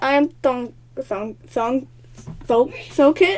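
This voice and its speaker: In a put-on character voice, a woman talks very slowly, high-pitched and nasal. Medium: solo performance. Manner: pompous, quavering.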